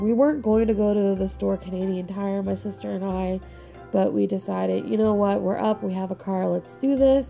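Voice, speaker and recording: With music playing in the background, a woman talks at a fairly quick pace. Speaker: planner hobbyist vlogger. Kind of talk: casual talk to camera.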